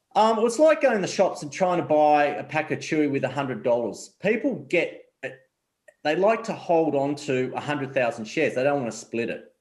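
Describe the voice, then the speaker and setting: A man talks at a fairly quick pace. His fairly high voice has lively intonation. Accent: Australian. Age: 40s. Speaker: investment advisor. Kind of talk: interview.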